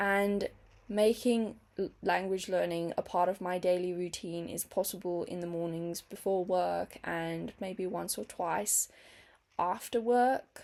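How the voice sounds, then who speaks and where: Her pitch is medium, and her intonation fairly even. The woman speaks at a fairly slow pace. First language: not English. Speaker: teacher and language-learning vlogger. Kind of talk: casual vlog monologue.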